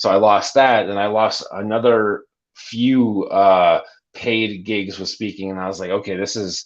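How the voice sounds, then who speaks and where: A man with a Canadian accent and an unremarkable speaking voice talks at a fairly slow pace. His pitch is fairly low and his intonation fairly even. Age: 30s. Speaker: gamer, streamer and youth mentor. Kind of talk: podcast interview.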